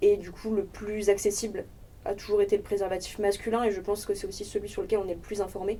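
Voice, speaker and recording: Her intonation monotone and flat, a woman talks very fast at a medium pitch. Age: 20s. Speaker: sex education project member. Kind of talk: casual discussion.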